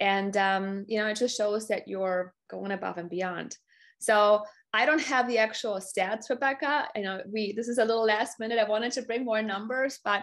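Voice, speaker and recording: A woman with a German accent, enthusiastic in tone, at medium pitch with ordinary pitch variation, a moderate pace and a quiet background. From Germany. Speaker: business strategy coach. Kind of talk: customer testimonial on a live webinar. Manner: enthusiastic, with many fillers and repeated words.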